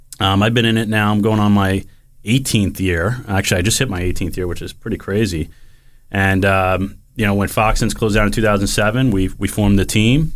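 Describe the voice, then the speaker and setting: A man with an American accent talks at a fairly quick pace in a fairly low pitch, his intonation fairly even, in a plain, everyday voice. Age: 30s. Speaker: podcast co-host, real estate team owner. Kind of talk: casual chat. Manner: casual, filler-heavy.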